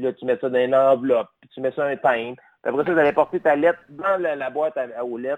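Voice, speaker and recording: A man in a normal speaking voice talks at a fairly quick pace and medium pitch with ordinary pitch variation, the sound dry and close with no echo. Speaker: caller. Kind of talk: call-in discussion.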